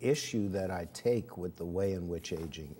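Light background noise sits behind a man's voice. His pitch is very deep and low, with ordinary pitch variation. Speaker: interview guest. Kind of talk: interview answer. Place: studio. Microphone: lapel.

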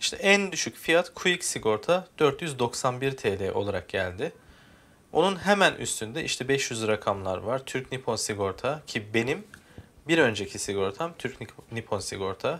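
This man talks at a fairly slow pace in a medium pitch. His pitch swings very widely. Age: 30s. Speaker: YouTuber explaining car insurance. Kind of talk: screen-recorded tutorial. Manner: casual, conversational.

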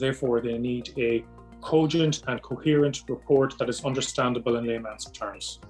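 Faint music plays in the background as the speaker talks at a moderate pace with fairly even intonation. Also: man, medium pitch for a man. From Ireland. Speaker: psychiatrist. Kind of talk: promotional self-introduction. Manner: formal. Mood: calm, measured, formal. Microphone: webcam.

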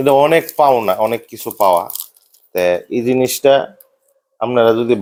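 A man's normal speaking voice at medium pitch. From Bhairab, Kishoreganj, Bangladesh. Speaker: business owner. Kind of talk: interview testimony.

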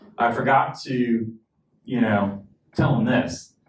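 A man speaks amid light background noise, and the room echo is audible. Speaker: pastor. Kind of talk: sermon. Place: church.

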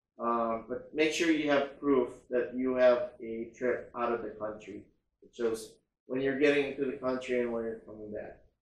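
A man speaks with fairly even intonation amid audible room echo. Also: moderate pace. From Philippines. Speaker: travel vlogger. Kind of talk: vlog-style informational monologue. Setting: quarantine hotel room, self-filmed. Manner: casual, hesitant with frequent fillers. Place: home room.

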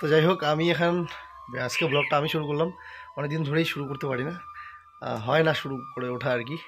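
Noticeable background noise sits behind a man speaking with fairly even intonation. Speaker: family vlogger. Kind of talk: casual vlog chat. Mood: relaxed, cheerful. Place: garden. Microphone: phone near.

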